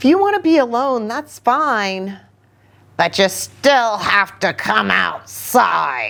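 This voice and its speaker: A woman uses a put-on character voice and speaks at a very slow pace. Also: fairly high pitch for a woman. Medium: read story. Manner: strict, firm.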